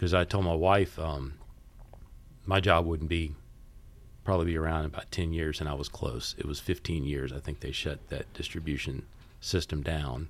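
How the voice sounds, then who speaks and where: Very deep and low, a man's voice with an American accent carries vocal fry and fairly even intonation, broken by long, frequent pauses. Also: moderate pace. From US South, Mississippi Gulf Coast (Biloxi). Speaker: business owner, fundraising consultant. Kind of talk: casual interview chat.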